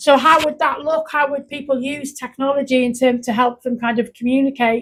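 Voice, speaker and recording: Loud and high-pitched, a woman with a North Welsh accent talks at a fairly quick pace in a monotone, flat intonation. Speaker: youth worker. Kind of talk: casual chat.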